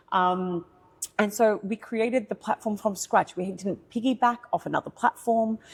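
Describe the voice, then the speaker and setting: A woman with an Australian accent speaks at a moderate pace, fairly high in pitch and somewhat breathy. The sound is dry and close, with no echo. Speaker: tech founder. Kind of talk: podcast interview. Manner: animated.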